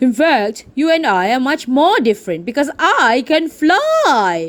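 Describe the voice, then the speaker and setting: A put-on character voice, pitched high, speaks at a fairly slow pace. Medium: read story. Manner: warm, advising.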